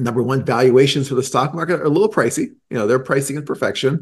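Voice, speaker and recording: With an American accent, a man speaks at medium pitch in a somewhat breathy voice. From Boston. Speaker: chief investment officer. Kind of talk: interview.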